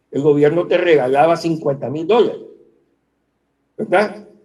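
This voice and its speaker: Here a man speaks with a fairly high pitch. His intonation is lively. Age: 60s. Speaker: economist. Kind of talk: interview. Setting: video call.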